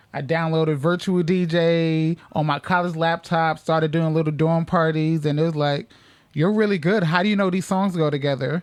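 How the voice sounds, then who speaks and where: With an American accent and a normal speaking voice, a man at a fairly high pitch talks at a moderate pace with fairly even intonation and very even loudness in a very clean recording with a silent background. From New York, the Bronx. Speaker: DJ. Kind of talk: radio interview. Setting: radio studio. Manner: casual.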